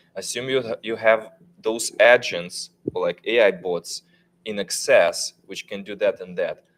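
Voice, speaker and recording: A man with a non-native accent talks at a fairly slow pace. The sound is dry and close, with no echo. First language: not English. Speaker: tech panelist. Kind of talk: panel discussion. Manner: halting.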